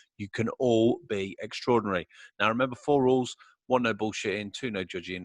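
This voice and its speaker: A man with a British accent speaks at a medium pitch with ordinary pitch variation. The background is quiet. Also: dry, close sound with no echo. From UK. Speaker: podcast host. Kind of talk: casual interview chat. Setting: home studio.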